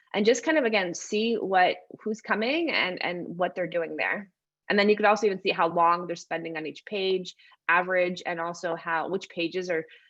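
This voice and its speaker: Ordinary pitch variation from a woman at a medium pitch. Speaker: designer and workshop presenter. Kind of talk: webinar presentation. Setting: online webinar. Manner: fast.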